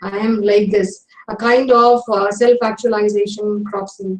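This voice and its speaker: In an Indian accent, a woman talks at a fairly high pitch with fairly even intonation. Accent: Indian English (Tamil). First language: Tamil. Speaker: English professor. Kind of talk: lecture. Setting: online webinar. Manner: hesitant, many fillers.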